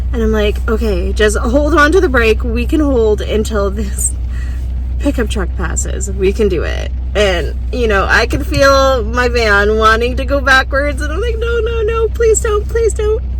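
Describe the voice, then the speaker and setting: A woman talks at a fairly slow speed while noticeable background noise is heard. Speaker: vanlife YouTuber. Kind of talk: casual storytelling to camera.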